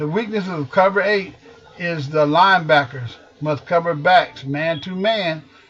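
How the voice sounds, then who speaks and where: A man with an American accent, high-pitched, at a fairly slow pace with ordinary pitch variation, against noticeable background noise. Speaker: football coach. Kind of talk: tutorial.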